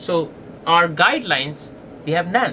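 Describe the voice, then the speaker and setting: At a moderate pace, a man with a non-native accent and a fairly high pitch talks over noticeable background noise. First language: not English. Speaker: pediatric diabetes doctor. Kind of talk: lecture.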